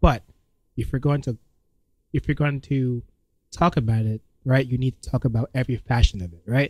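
With an American accent, a somewhat breathy man speaks at a fairly quick pace and medium pitch with fairly even intonation, long, frequent pauses and big swings in loudness, the sound dry and close with no echo. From New York. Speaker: comedian. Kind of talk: casual chat. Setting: studio. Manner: casual and laid-back.

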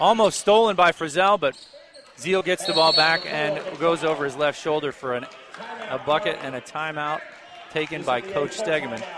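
A man with an American accent talks in a fairly high voice, with ordinary pitch variation. Noticeable background noise can be heard. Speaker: play-by-play radio announcer. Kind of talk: live high school basketball play-by-play commentary. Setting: courtside at a gym broadcast. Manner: rapid, running call of each possession with scores; brisk, excited reactions to near-miss shots.

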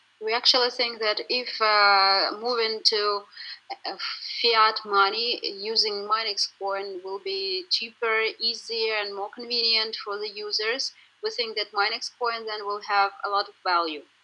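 Noticeable background noise sits behind a woman's voice. She talks at a fairly high pitch and a fairly slow pace with fairly even intonation. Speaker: customer support manager, interpreter. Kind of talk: interview.

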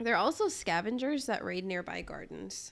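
A woman speaks fairly slowly in a fairly high voice with vocal fry, her pitch swinging very widely. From Africa. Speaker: podcast co-host. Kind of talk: casual chat.

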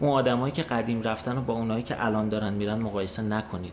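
Very fast speech from a man, noticeable background noise all around. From Iran. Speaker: emigrant sharing experience. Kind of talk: casual chat.

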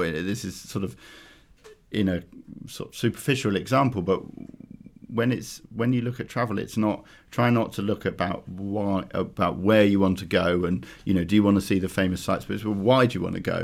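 A man with a London accent, fairly low-pitched, fairly quick, with ordinary pitch variation. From London, Clapham. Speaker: travel company founder. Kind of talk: casual interview. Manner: halting, many fillers and restarts.

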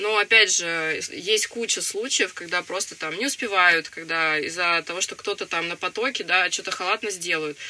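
Against noticeable background noise, a woman talks at a moderate pace with hardly any pauses, her medium pitch varying in an ordinary way. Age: young. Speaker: young mother of three. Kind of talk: interview.

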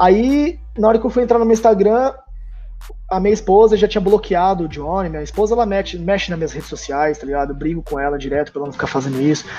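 Over noticeable background noise, the speaker talks very fast with lively intonation. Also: man, high pitch for a man. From interior of São Paulo state (Tupã). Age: 30s. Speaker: rap battle host and organizer. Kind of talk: casual interview chat. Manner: animated, slangy.

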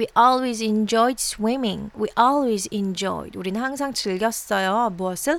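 In a very clean recording with a silent background, a woman speaks. Her pitch is fairly high and her pace very slow. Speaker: English teacher. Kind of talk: language lesson. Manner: slow, repetitive drilling.

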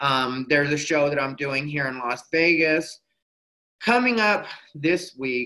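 A fairly high, bright, sharp man's voice in an American accent, with ordinary pitch variation and a fairly slow pace. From Arizona, Mexican American. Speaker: stand-up comedian. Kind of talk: casual interview chat.

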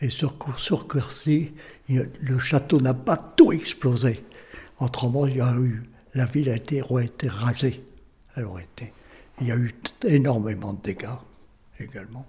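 With a dark, mellow tone and a somewhat breathy quality, a man speaks at a medium pitch and a fairly slow pace, showing ordinary pitch variation. Long, frequent pauses and big swings in loudness run through his speech. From northern France, Lille area. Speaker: local history witness. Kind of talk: oral history testimony. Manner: halting, many repetitions.

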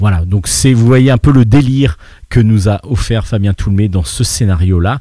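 Dark, mellow tone, somewhat breathy, at a moderate pace with ordinary pitch variation. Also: man, fairly low pitch for a man. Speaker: radio host. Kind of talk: casual chat. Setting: bar.

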